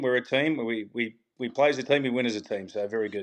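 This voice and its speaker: Speaking with an Australian accent, a man talks at a fairly quick pace in a medium pitch with ordinary pitch variation. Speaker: tour caddy. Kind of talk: casual chat.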